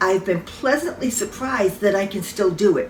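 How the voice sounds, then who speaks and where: Over noticeable background noise, a woman with a medium pitch speaks at a moderate pace. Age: old. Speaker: salon owner. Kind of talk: casual talk to camera.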